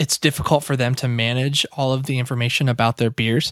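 The man has an unremarkable speaking voice at medium pitch, moving at a moderate pace. The recording is very clean, with a silent background. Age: 20s. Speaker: web developer. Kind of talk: casual interview.

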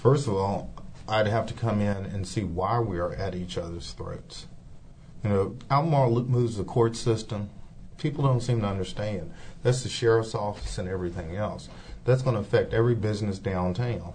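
Audible room echo surrounds a man speaking at a moderate pace. His voice is fairly low in pitch, somewhat breathy, with ordinary pitch variation. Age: 50s. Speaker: city council candidate. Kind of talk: interview.

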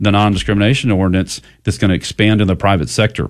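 This is a man with a Texan accent. His pitch is fairly low. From Texas (Goliad). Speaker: family advocacy group founder. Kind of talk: radio interview. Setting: studio.

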